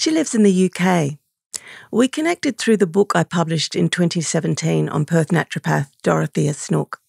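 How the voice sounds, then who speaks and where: Talking at a fairly quick pace, a woman keeps her loudness very even in a dry, close recording with no echo. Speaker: podcast host. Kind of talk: podcast narration.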